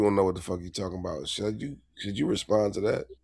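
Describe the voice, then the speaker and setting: A man with a fairly low pitch. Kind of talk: casual chat. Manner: animated.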